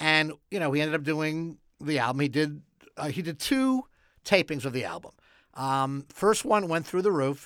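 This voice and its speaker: A man speaks in an ordinary speaking voice, fairly high in pitch, with lively intonation at a moderate pace. The recording is very clean, with a silent background. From Quebec. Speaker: comedy TV writer. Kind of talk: interview. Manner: dry joking humor.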